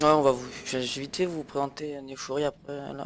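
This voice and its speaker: Fairly high pitch from a male speaker. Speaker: gaming video creator. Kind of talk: gameplay commentary. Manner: halting, many fillers.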